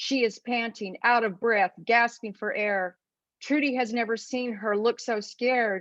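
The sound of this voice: An unforced reading voice uses fairly even intonation. The background is quiet.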